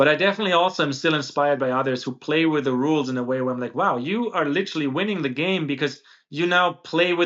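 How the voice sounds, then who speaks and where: A man talks at a very fast pace with hardly any pauses, in a German accent. His pitch is fairly high, with ordinary variation. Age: 30s. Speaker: podcast host. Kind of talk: interview conversation.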